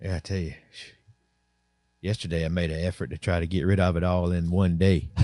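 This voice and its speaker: In a quiet background, a man with a Southern US accent speaks fairly quickly in a very deep, low voice with a dark, mellow tone, leaving long, frequent pauses. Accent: US South. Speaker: podcast host. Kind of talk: casual chat. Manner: animated.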